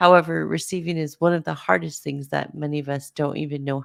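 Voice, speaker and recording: A soft-spoken woman at a moderate pace, very deep and low in pitch with ordinary pitch variation, in a very clean recording with a silent background. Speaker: podcast host, spiritual guide. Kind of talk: podcast monologue. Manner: halting.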